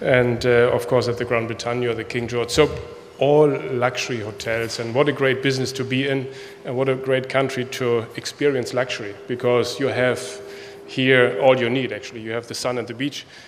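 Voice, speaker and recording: Speaking with a German accent, a man talks fairly quickly in a flat monotone, with audible room echo and noticeable background noise. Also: medium pitch for a man. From Germany. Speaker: hotel executive. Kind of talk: conference speech. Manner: halting.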